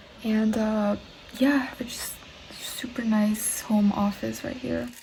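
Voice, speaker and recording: The speaker is soft-spoken, with fairly even intonation and a very slow pace. Noticeable background noise runs underneath. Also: woman, fairly high pitch for a woman. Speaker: food vlogger. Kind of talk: casual vlog talk. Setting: at home. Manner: casual, filler-heavy.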